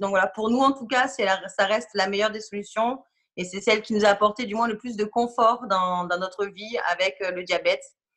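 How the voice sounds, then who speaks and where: Bright and sharp in tone, a woman talks at a fairly quick pace. Her pitch is fairly high, with fairly even intonation. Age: 30s. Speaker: parent of a diabetic child. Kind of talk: testimony.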